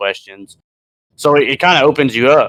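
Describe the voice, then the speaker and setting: A man speaks with a bright, sharp tone and ordinary pitch variation. The sound is dry and close, with no echo. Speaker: podcast co-host. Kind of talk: casual chat. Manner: loud; halting, many fillers.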